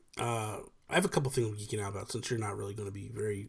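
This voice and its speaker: In an American accent, a man speaks with a fairly low pitch and a somewhat breathy quality. His intonation stays fairly even. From New Jersey. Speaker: podcast host and gaming YouTuber. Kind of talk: casual chat. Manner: talkative, off the cuff.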